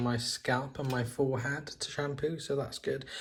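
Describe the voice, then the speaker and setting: This man has a fairly high pitch and speaks with a British accent. Noticeable background noise sits behind him. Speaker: lifestyle vlogger. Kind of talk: casual vlog talk.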